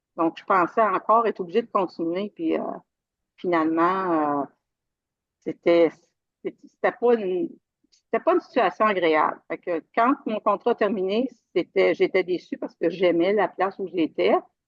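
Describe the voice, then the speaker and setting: Someone speaks at a moderate pace with ordinary pitch variation and long, frequent pauses. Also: woman, medium pitch for a woman. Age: 60s. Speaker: retired IT worker, coaching client. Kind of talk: interview testimony. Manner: halting, many fillers.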